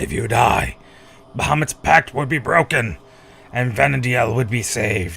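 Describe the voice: Using a raspy, put-on character voice, a man speaks at medium pitch and moderate pace with lively intonation.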